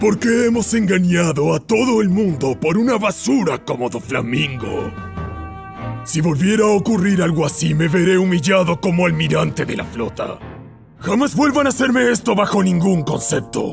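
Putting on a character voice, a man speaks high at a moderate pace while clear music plays in the background. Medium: fan dub. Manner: angry, contemptuous, confrontational.

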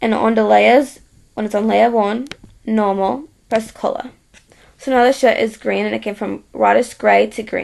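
A woman speaks with an Australian accent. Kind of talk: software tutorial narration. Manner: casual, hesitant.

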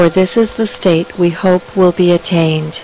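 Against music in the background, a woman talks at a very slow pace in a calm, soothing tone with monotone, flat intonation and a dry sound with no echo. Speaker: meditation circle leader. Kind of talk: guided meditation. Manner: slow, calm and soothing; gentle, measured pauses between phrases. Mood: calm, soothing, slow.

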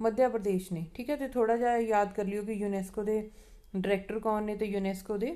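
At a fairly quick pace, a woman speaks with medium pitch, fairly even intonation and a dark, mellow tone.

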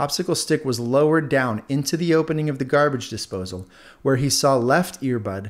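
Ordinary shifts in pitch across an unforced reading voice

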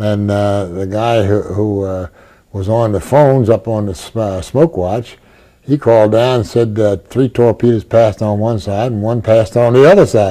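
Against a quiet background, a man talks in a fairly low pitch with a dark, mellow tone. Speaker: former navy chief machinist's mate, oral history interviewee. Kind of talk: oral history interview recollection. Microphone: lapel.

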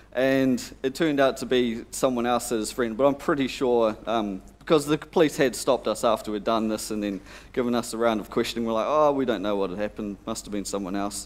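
Here a man talks at a fairly quick pace with ordinary pitch variation. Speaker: conference presenter. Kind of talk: conference talk with anecdote. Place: hall.

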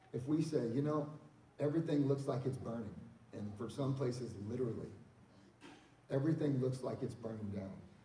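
Long, frequent pauses break up a man's speech, with light background noise and audible room echo. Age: 40s. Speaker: pastor. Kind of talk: church panel discussion. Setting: church. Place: church.

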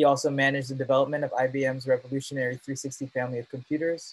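A man's very fast speech in a monotone, flat intonation, with a dry sound and no echo. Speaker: student club organizer. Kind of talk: interview. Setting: video call. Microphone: video call.

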